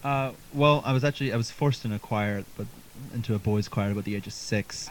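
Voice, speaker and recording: Over noticeable background noise, a man with a Canadian accent speaks at a fairly low pitch with ordinary pitch variation. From Halifax, Nova Scotia, Canada. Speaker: folk singer-songwriter. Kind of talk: casual interview chat. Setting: basement live stream.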